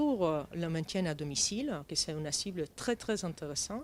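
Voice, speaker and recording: A woman with a non-native accent speaks at a fairly slow pace. The recording is very clean with a silent background. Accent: foreign accent in French. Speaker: start-up founder. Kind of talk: interview. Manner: halting.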